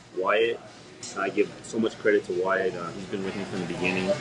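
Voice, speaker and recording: A man with a New York accent speaks at a fairly quick pace, his pitch fairly low and his intonation fairly even. Noticeable background noise runs under his voice. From Brooklyn, New York City. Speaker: pizzeria owner. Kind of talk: casual interview. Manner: halting, many fillers.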